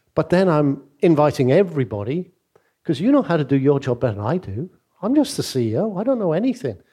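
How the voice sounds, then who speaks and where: With a Mancunian accent, the speaker rattles along at a very fast pace in a dark, mellow, somewhat breathy tone, with very wide pitch swings. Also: man, fairly high pitch for a man. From Manchester, northern England. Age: 60s. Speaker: business leader and former CEO. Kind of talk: interview on stage.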